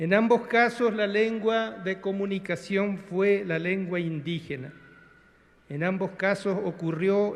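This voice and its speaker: A man with a Paraguayan accent, fairly slow in pace, with ordinary pitch variation. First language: Guarani (speaking Spanish). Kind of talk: formal speech. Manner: formal.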